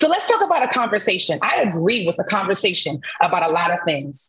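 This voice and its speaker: A woman with an American accent talks at a fairly quick pace, her pitch swinging very widely over noticeable background noise. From US Northeast, Brooklyn. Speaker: musician. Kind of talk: panel debate.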